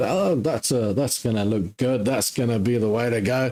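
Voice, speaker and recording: A man talks at a moderate pace in a very clean recording with a silent background. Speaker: trading live-stream host. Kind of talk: live stream chat. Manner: sometimes sounds upset or offish.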